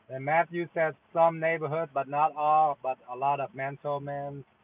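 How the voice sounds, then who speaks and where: A man speaks in a flat monotone. His pace is very slow. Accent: slight Vietnamese. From Vietnam. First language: Vietnamese. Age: 30s. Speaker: delivery driver and gig-work streamer. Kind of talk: casual live stream chat. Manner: halting, many fillers.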